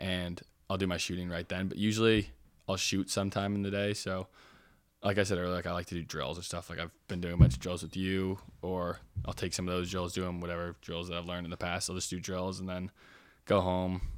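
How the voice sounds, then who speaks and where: On a very clean recording with a silent background, a man with an American accent talks very fast in a very deep, low, monotone, flat voice. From Oregon, Portland. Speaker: college lacrosse player. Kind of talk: casual interview.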